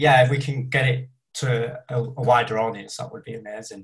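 In a northern English accent, a man talks at a moderate pace and medium pitch, sounding somewhat breathy. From northern England. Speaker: independent filmmaker. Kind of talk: casual chat. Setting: video call.

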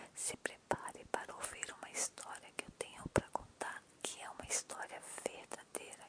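A whispered voice with a gentle, soothing tone, moving at a fairly slow pace. Noticeable background noise sits behind it. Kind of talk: whispered ASMR storytelling. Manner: whispering, hushed and soothing, intimate and unhurried; gentle, slow-paced, lulling, addressing listener directly.

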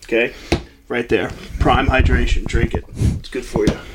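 Noticeable background noise accompanies a man who speaks at a moderate speed. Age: 30s. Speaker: sports podcast host. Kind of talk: casual chat. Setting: studio, also streamed live on TikTok. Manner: animated.

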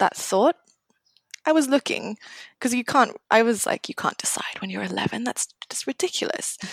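A woman whispering, in a dry, close sound with no echo. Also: moderate pace. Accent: British. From Singapore, then UK from age 13. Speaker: marine conservation program manager. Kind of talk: casual interview.

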